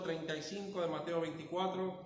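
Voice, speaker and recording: A man speaking at a moderate pace, high in pitch. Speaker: pastor. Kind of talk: sermon.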